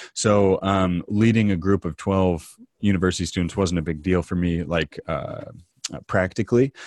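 In a dry, close sound with no echo and a quiet background, a man speaks with a very deep, low pitch. His pace is moderate and his intonation fairly even. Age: 30s. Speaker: travel entrepreneur and guidebook author. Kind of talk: interview.

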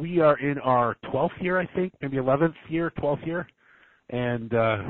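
It is an unremarkable speaking voice with lively intonation. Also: man. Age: 40s. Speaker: entrepreneur, call center CEO. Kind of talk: interview. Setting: phone call.

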